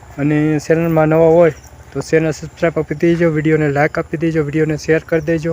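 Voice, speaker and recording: Noticeable background noise sits behind a man's voice. He speaks fairly high, in a monotone with flat intonation. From Saurashtra, Gujarat (Amreli district). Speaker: village vlogger. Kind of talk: casual vlog. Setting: outdoors on a farm.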